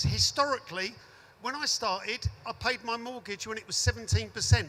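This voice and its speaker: A man talks at a fairly quick pace in a raised, projected voice. His pitch is high and his tone bright and sharp. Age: 60s. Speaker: audience member, landlord. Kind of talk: audience question at panel debate.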